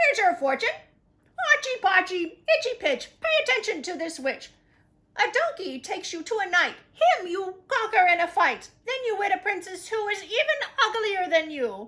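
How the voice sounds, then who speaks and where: A woman puts on a squeaky character voice at an extremely high pitch, raised and projected. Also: moderate pace. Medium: read story.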